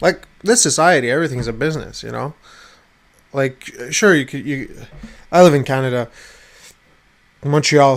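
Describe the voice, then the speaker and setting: Fairly high male speech at a moderate pace, with ordinary pitch variation, big swings in loudness, and long, frequent pauses. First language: not English. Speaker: vlogger. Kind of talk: casual rant to camera. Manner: halting, many repetitions.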